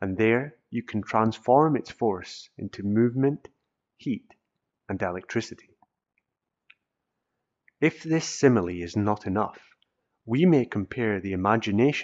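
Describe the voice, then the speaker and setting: With lively intonation, a medium-pitched man speaks at a fairly slow pace, leaving long, frequent pauses. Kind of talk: audiobook reading of a self-help text.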